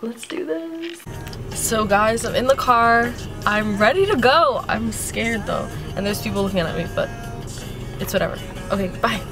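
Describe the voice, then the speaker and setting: Over clear background music, a woman speaks at a moderate pace with long, frequent pauses. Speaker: new vlogger. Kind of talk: casual vlog chat. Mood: nervous but upbeat.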